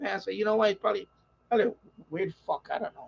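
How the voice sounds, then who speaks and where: A man with lively intonation at a very fast pace. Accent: New York. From New York. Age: 50s. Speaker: radio hobbyist streamer. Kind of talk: casual live-stream chat.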